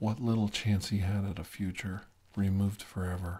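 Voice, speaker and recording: A soft-spoken man talks at a fairly slow pace with a fairly low pitch and a somewhat breathy voice. His tone is menacing, dark and mellow. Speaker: storyteller. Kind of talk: dramatic storytelling monologue. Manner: soft, close ASMR murmur, menacing.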